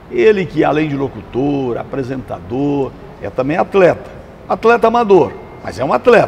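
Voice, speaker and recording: A fairly high-pitched man at a fairly slow pace, with noticeable background noise. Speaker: talk show host. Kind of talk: interview questions.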